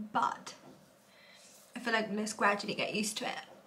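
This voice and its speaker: Room echo is audible around a woman's speech, along with noticeable background noise. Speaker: beauty vlogger. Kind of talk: casual vlog tutorial. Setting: at home. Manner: chatty, filler-heavy; quiet.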